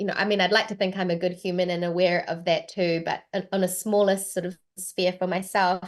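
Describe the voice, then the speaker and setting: With a New Zealand accent, a woman talks at a fairly quick pace, with hardly any pauses. Her medium-pitched voice has monotone, flat intonation. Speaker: voice actor. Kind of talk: interview.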